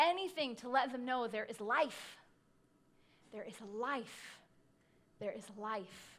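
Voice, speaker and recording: Lively intonation and big swings in loudness come through at a very slow pace broken by long, frequent pauses. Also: woman, high pitch for a woman. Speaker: pastor. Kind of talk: sermon.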